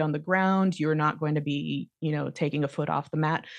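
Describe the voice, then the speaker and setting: Against a quiet background, a woman with an American accent speaks at a very deep, low pitch and a moderate pace with fairly even intonation. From United States. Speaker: yoga instructor. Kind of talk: casual chat.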